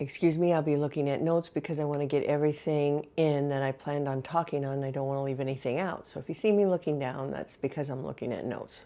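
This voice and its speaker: A woman speaks very fast with hardly any pauses, her pitch very deep and low and her intonation fairly even. Her tone is dark and mellow, on a very clean recording with a silent background. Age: 60s. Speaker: retired teacher, weight loss vlogger. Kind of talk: personal vlog talking to camera. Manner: halting, with fillers.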